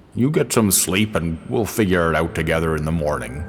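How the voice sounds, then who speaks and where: Over music in the background, a man does a put-on character voice with a very deep, low pitch, a warm tone, lively intonation and a fairly quick pace. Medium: audio drama. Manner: warm, paternal.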